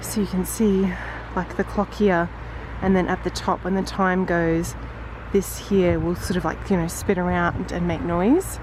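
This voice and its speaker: The speaker is a woman with a fairly slow pace. Background noise is noticeable. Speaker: travel vlogger. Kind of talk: travel vlog narration. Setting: outdoors.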